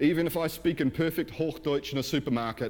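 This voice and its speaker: With an Australian accent, a man talks at a fairly quick pace using lively intonation. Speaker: pastor. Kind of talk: sermon. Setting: church.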